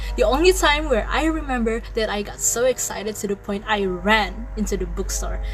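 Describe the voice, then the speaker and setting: Over background music, a woman speaks at a moderate pace. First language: not English. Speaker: lifestyle and faith vlogger. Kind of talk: casual talk to camera.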